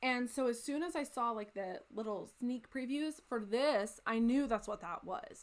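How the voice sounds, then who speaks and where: On a very clean recording with a silent background, a woman with an American accent uses a normal speaking voice at a fairly slow pace, her pitch varying in an ordinary way. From United States. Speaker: crafting video creator. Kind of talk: casual chat. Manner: casual with fillers.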